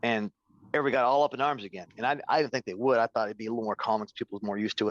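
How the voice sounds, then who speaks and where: A very fast man's voice at medium pitch with ordinary pitch variation, dry and close with no echo, over a quiet background. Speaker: retired police officer. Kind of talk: interview.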